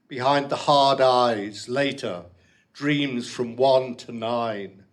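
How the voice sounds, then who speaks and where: Amid audible room echo, a man speaks at a very slow pace with fairly even intonation. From Liverpool, England. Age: old. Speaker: poet. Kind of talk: poetry reading. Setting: stage with audience. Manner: halting.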